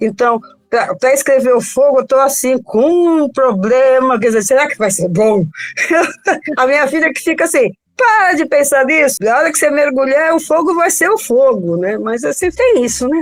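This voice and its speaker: At a moderate pace, a woman with a high pitch makes very wide pitch swings. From São Paulo, Brazil. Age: 70s. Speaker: novelist. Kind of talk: interview.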